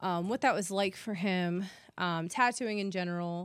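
A woman's unremarkable speaking voice, medium in pitch, at a moderate pace. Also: very clean recording, silent background. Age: 30s. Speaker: tattoo artist and podcast host. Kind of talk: casual chat.

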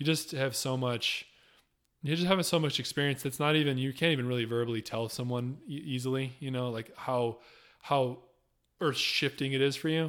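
In a very clean recording with a silent background, a man with a normal speaking voice talks at medium pitch with fairly even intonation. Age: 30s. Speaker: tiny house builder and traveler. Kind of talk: casual interview.

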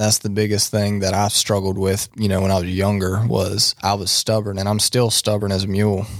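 Talking at a fairly quick pace with hardly any pauses, a man with an eastern North Carolina accent keeps a fairly low pitch, monotone, flat intonation and very even loudness. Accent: US Southern (eastern North Carolina). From eastern North Carolina (Tarboro). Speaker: podcast co-host, construction worker. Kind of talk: casual chat, faith testimony.

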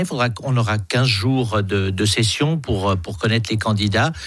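This man's pitch is medium and moves in an ordinary way. He keeps a moderate pace. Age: 60s. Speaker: politician. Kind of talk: radio interview. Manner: halting, repeats words.

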